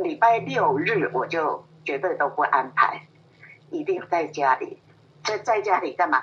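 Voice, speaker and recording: Her pitch sits in the medium range for a woman, with very wide swings. She speaks at a fairly slow pace. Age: 80s+. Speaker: grandmother. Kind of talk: interview. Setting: phone call. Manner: lively.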